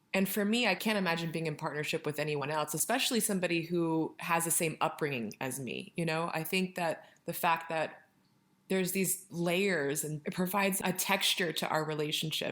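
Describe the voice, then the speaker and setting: In a very clean recording with a silent background, a woman talks at a moderate pace in a plain, everyday voice, her pitch fairly low with ordinary variation. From Southern California. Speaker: spiritual consultant. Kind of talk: interview.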